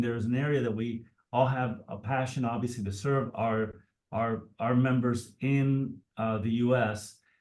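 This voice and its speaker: A man with a Spanish accent, medium-pitched, with audible room echo. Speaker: nonprofit board chair. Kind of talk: moderating panel.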